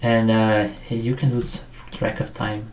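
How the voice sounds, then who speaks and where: Over noticeable background noise, a man talks with a strong non-native accent. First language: not English. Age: 40s. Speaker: 3D sculptor. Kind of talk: tutorial livestream. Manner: halting, many fillers.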